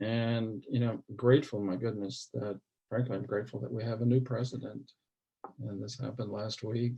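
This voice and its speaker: Somewhat breathy and medium-pitched, a man with an American accent speaks at a moderate pace in a monotone, flat intonation. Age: 60s. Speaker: mental health advocate. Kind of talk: interview.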